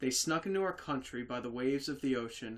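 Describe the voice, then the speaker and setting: This is a man speaking. His pitch is medium and his pace moderate. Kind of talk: horror story reading.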